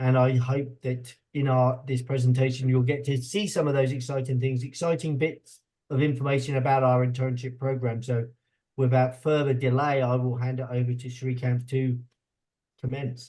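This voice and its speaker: With a British accent, a man speaks at a moderate pace and medium pitch in a monotone, flat way, his tone dark and mellow and somewhat breathy. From UK. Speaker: university associate dean. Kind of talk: informational webinar presentation. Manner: hesitant, with fillers.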